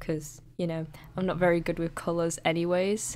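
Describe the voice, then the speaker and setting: A woman mumbles in a fairly low pitch. Her intonation is monotone and flat. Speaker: digital artist. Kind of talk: narrated art process tutorial. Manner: hesitant, occasionally mumbling.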